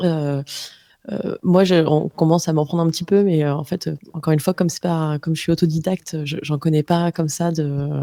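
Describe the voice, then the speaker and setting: A woman speaks at a fairly quick pace with a very deep, low pitch and a dark, mellow tone. Her intonation is monotone and flat, and the sound is dry and close with no echo. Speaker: podcast creator, voice coach. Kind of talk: masterclass conversation. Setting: live stream.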